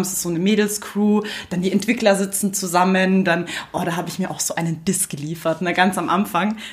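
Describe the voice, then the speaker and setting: Woman talking at a fairly quick pace with fairly even intonation, noticeable background noise behind her. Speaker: podcast co-host. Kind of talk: casual chat. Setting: studio.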